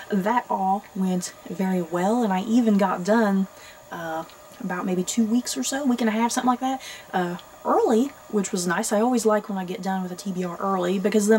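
A woman talks at a fairly quick pace with ordinary pitch variation as light background noise sounds behind her. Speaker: book vlogger. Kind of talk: casual vlog chat. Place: home room.

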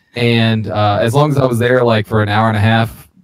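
With a fairly quick pace, fairly even intonation and a fairly low pitch, this man has a normal speaking voice. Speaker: beer podcast co-host. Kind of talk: casual chat.

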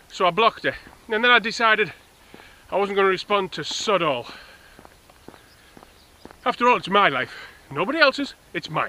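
Lively in intonation, a man uses a raised, projected voice. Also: fairly quick pace, dry sound with no echo. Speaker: vlogger. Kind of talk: casual vlog chat, personal rant. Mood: exasperated, ranting. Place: open country. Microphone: phone near.

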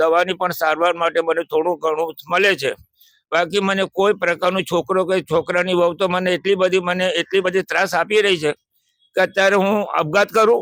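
In a dry, close sound with no echo, a man talks in a high voice with monotone, flat intonation. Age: 80s+. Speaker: elderly man living in a shelter. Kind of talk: interview testimony.

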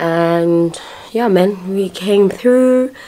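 Her speech moves with ordinary pitch variation. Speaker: vlogger. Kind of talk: casual vlog chat. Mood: relaxed, a bit hungover. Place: home room. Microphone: phone near.

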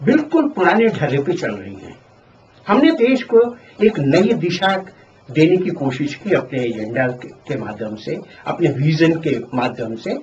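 Over light background noise, a man with a fairly high pitch talks at a very slow pace, his pitch swinging very widely and his loudness rising and falling a lot. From Bihar, India. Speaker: retired engineer and political party president; interviewee. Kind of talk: interview. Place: home room. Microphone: handheld.

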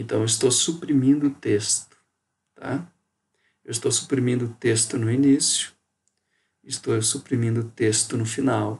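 A somewhat breathy man speaks at a medium pitch with fairly even intonation. His pace is fairly slow, broken by long, frequent pauses. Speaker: university geography professor. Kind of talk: recorded lecture. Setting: home bedroom. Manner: casual, conversational.

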